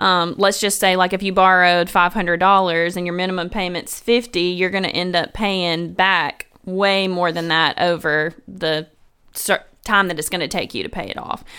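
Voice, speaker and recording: Speaking in a Tennessee accent, a woman has a bright, sharp tone and monotone, flat intonation, recorded very cleanly against a silent background. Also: medium pitch for a woman, moderate pace. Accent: Southern American (Tennessee). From US South, Memphis, Tennessee. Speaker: financial counselor. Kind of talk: casual chat.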